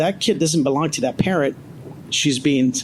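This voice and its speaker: Fairly high in pitch, a man talks at a fairly quick pace. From born abroad, came to the US as a child. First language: not English. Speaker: panelist, law enforcement professional. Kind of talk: panel discussion. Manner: animated.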